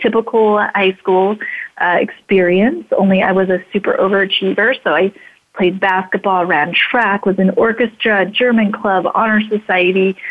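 An ordinary speaking voice with an American accent moves at a fairly slow pace, its intonation fairly even and its loudness very even. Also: woman. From Idaho, US. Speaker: speaker and radio/TV host. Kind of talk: interview.

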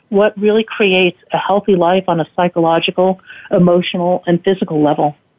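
A woman's plain, everyday voice, medium in pitch, with ordinary pitch variation and a moderate pace. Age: 60s. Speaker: cancer survivor and tech entrepreneur. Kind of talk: casual interview. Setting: radio broadcast.

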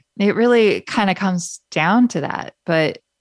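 A woman at medium pitch with ordinary pitch variation, in a dry, close sound with no echo. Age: 40s. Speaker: podcast host. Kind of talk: casual monologue. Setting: radio studio. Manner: laughs often.

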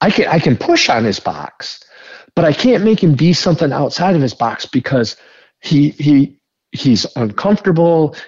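With an Upper Midwest accent, a man speaks at a moderate pace. His loudness stays very even. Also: fairly high pitch for a man. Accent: Upper Midwest American. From northern Michigan. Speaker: entrepreneur. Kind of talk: interview.

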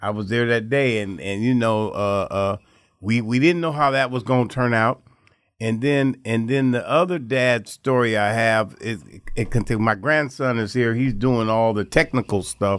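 Recorded very cleanly over a silent background, a man with an ordinary speaking voice talks at a moderate pace, with medium pitch and ordinary pitch variation. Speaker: guest brother. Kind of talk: casual conversation interview. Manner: repetitive, conversational.

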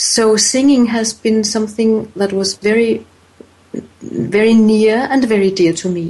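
A woman with a non-native accent talks at a fairly slow pace over noticeable background noise. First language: not English. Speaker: author, voice coach and healer. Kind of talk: interview. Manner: hesitant, repeating words.

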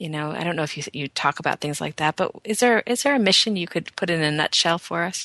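With hardly any pauses, a woman rattles along at a very fast pace at a fairly low pitch, her tone bright and sharp and her intonation lively, in a dry, close sound with no echo over a quiet background. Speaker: radio host. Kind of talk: radio interview. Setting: radio show.

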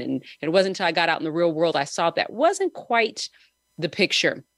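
In a dry, close recording with no echo, a woman with an American accent talks at a fairly quick pace and medium pitch in a plain, everyday voice. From Southern California. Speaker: podcast host and business owner. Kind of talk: casual chat.

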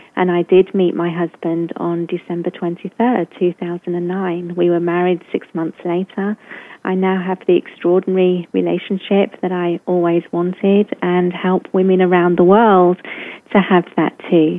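A woman with a British accent speaks at a fairly slow pace in a fairly low, monotone voice with flat intonation. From England. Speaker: coach or speaker on love and relationships. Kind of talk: casual interview chat.

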